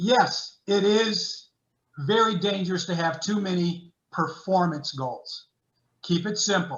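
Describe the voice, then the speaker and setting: A man speaking at a fairly slow pace with ordinary pitch variation. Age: 70s. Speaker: sports psychologist. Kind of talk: webinar lecture. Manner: animated.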